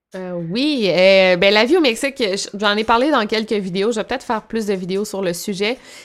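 A woman's medium-pitched voice with a Quebec accent. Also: ordinary pitch variation, moderate pace. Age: 20s. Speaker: YouTuber. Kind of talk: casual interview.

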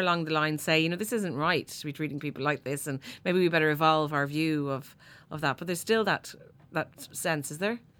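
A very deep, low-pitched woman's voice in an Irish accent, at a fairly quick pace, on a very clean recording with a silent background. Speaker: podcast host. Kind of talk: interview. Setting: studio.

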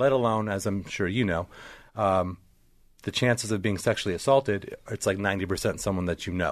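An ordinary speaking voice, from a man pitched fairly low. He talks at a fairly quick pace with fairly even intonation over a quiet background. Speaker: podcast co-host. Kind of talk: casual interview chat.

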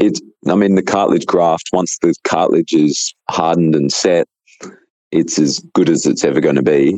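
A man's voice with an Australian accent, very even in loudness, in dry, close sound with no echo. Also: moderate pace. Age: 30s. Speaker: natural bodybuilder and coach. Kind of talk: casual interview.

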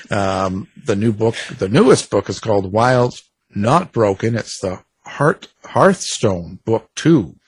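The voice is somewhat breathy and moves at a very slow pace with lively intonation, recorded with a dry, close sound with no echo over a quiet background. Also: man. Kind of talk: casual interview chat. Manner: relaxed, conversational, laughs often, hesitant with fillers.

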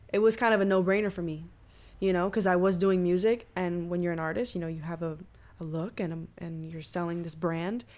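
A woman with a fairly low pitch speaks in a normal speaking voice at a fairly quick pace, her intonation fairly even, on a very clean recording with a silent background. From Cuban-American, Miami. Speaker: choreographer and dancer. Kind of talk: casual interview chat.

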